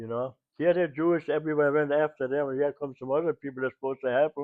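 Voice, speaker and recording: This man speaks with a German accent at a very fast pace. His pitch is fairly high, and his intonation is monotone and flat. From Germany. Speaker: WWII civilian eyewitness. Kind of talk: interview answer.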